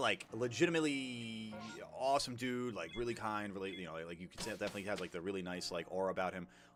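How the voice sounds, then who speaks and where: With music in the background, a man with an American accent talks very fast at a fairly low pitch, his intonation lively. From New York. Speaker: gaming streamer. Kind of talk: casual chat.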